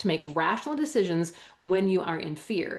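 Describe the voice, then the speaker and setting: Speaking at a fairly quick pace in a Wisconsin accent, a woman sounds animated, her pitch swinging very widely. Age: 50s. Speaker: holistic health educator. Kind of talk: interview.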